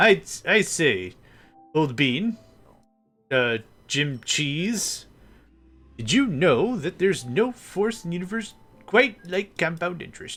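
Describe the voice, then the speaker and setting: In a put-on character voice, a man speaks high and fairly slowly, his pitch swinging very widely, with long, frequent pauses and faint music in the background. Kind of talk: posh, old-fashioned. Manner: exaggerated, comic.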